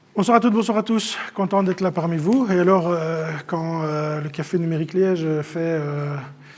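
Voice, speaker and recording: With noticeable background noise behind him, a man talks at a moderate pace in a high pitch, using ordinary pitch variation and hardly any pauses. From Belgium, Namur and Luxembourg province. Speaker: AI trainer and speaker. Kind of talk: conference talk. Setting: stage with audience.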